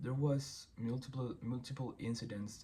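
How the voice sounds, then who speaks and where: Speaking at a fairly slow pace with a Spanish accent, a man sounds somewhat breathy amid audible room echo. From Chile. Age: 20s. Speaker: former boxer, singer and producer. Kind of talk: personal statement read aloud. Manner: reading from script.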